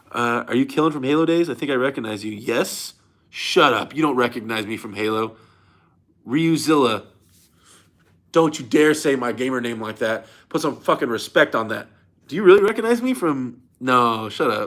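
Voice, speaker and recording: On a very clean recording with a silent background, a man in a medium pitch speaks at a moderate pace with an animated tone and ordinary pitch variation. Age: 30s. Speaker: arm wrestler and former pro gamer streamer. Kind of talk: live stream Q&A reading chat. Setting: hotel room. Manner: casual, animated.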